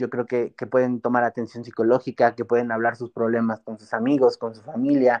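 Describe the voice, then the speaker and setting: A man's medium-pitched, monotone voice at a fairly quick pace, hardly pausing, with big swings in loudness, a dry, close sound with no echo, and a quiet background. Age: 20s. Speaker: youth political organizer and law student. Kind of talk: interview.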